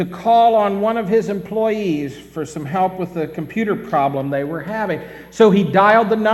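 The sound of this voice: The voice is an unforced reading voice. It reads the text aloud.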